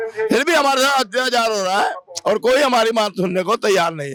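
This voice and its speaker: At a moderate pace, a man projects a raised voice at an extremely high pitch with ordinary pitch variation. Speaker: retired transport worker, protester. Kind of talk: street interview at protest. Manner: agitated.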